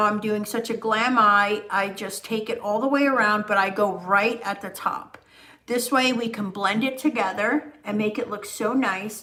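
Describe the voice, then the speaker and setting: The intonation is fairly even. Behind it sits noticeable background noise. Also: woman. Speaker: makeup artist. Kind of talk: livestream makeup tutorial. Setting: live video stream. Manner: casual, chatty.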